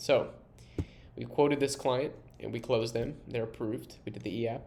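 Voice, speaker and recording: A man's dark, mellow, medium-pitched voice with vocal fry, fairly even intonation, big swings in loudness and audible room echo. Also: moderate pace. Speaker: software co-founder giving product demo. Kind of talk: software demo tutorial.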